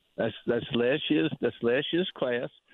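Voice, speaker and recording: A man with a medium pitch, speaking at a moderate pace. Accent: Southern US. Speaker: hunting and fishing guide. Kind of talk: casual chat. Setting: outdoors.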